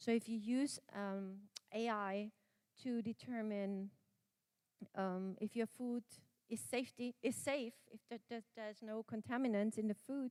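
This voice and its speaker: A woman in a German accent, fairly high in pitch, fairly slow, with fairly even intonation and a dry, close sound with no echo. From Austria. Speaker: conference speaker on quality and AI management. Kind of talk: conference presentation.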